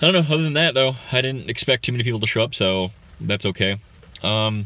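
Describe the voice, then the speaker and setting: Here a man speaks at a very fast pace. His intonation is lively. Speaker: gaming streamer. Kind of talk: live stream Q&A. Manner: hesitant, many filler words.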